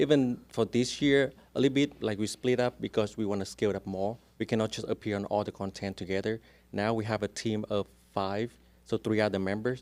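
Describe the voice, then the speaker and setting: A man with a strong Vietnamese accent, fairly low pitch, fairly quick pace and fairly even intonation, in dry, close sound with no echo on a very clean recording with a silent background. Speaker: real estate agent. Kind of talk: casual interview chat.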